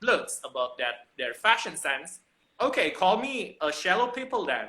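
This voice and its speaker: A moderate pace in an Indonesian accent. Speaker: fashion professional. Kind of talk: casual chat. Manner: animated; halting.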